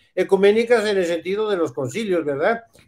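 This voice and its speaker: Against a quiet background, a man with a Mexican accent speaks at a moderate pace. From Mexico. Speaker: priest. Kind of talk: casual chat. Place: home room. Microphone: video call.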